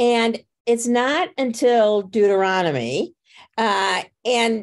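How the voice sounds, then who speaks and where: Very slowly, a woman with an American accent speaks with lively intonation at a fairly high pitch. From US Midwest (Crystal Lake, Illinois). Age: 60s. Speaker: book club leader. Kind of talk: casual group discussion.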